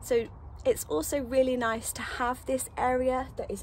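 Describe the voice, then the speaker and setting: A woman's dry, echo-free voice over light background noise. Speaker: vanlife vlogger. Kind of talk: casual vlog chat. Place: open country. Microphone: phone near.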